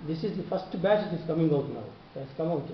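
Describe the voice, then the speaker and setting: Against noticeable background noise and audible room echo, a man talks in a fairly high pitch with ordinary pitch variation. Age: 70s. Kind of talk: interview.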